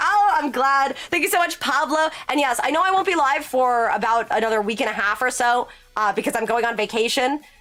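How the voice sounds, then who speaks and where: A high-pitched woman's voice, bright and sharp in tone, with lively intonation and hardly any pauses. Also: fairly quick pace. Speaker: streamer, reads chat aloud. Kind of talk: casual, chatty. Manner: fast talker.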